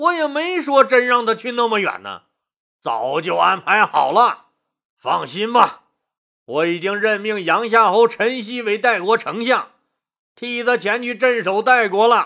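A man puts on a character voice that is bright and sharp, high-pitched with big pitch swings and vocal fry, delivered at a fairly slow pace on a very clean recording with a silent background.

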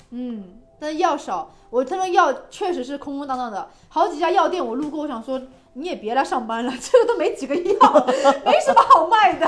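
The voice moves at a moderate pace. Loudness swings a lot, and the pitch swings very widely. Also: woman, high pitch for a woman. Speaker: traveler. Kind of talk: casual chat. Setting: outdoors by a fireplace in a yard.

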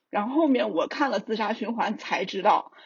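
The man's delivery is fairly quick. Pitch moves in an ordinary way. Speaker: book translator and publishing editor. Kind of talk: casual podcast discussion.

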